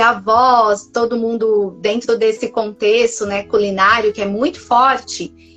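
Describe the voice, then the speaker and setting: In a Minas Gerais accent, a woman speaks at a fairly high pitch. Her pitch variation is ordinary. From Minas Gerais, Brazil. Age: 40s. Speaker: nutritionist. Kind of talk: testimony. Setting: live stream.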